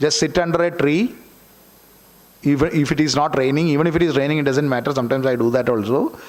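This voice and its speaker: A man with a Keralan accent speaks at a fairly high pitch. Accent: Malayali Indian English. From Kerala, India (rural village). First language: Malayalam. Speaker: author. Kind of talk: seminar talk. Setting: auditorium with audience.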